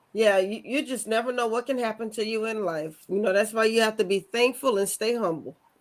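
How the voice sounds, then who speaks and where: A woman with a plain, everyday voice talks at a fairly quick pace and fairly high pitch, with ordinary pitch variation and hardly any pauses. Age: 50s. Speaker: talk show host. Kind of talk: interview. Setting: studio.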